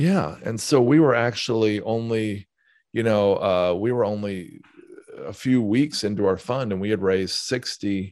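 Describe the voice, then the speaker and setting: This man's pitch sits fairly low, and his intonation is lively. He has a plain, everyday voice against a quiet background. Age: 50s. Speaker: real estate investor and author. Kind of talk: interview.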